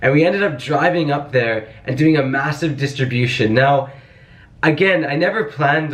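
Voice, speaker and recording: A man is speaking. Room echo is audible. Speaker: vlogger and volunteer relief organizer. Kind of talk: casual vlog narration. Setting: indoors at night while packing relief bags. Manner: quiet, soft-spoken; animated.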